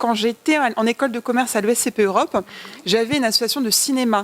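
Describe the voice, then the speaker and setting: A woman with a high pitch at a moderate pace, in a dry, close sound with no echo. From Paris suburbs, France. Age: 20s. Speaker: film director and producer. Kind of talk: interview.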